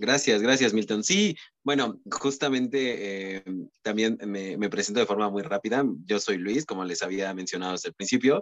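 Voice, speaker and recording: Using a plain, everyday voice, a man with fairly low pitch speaks at a moderate pace with ordinary pitch variation. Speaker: podcast co-host, communication student. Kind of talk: casual chat.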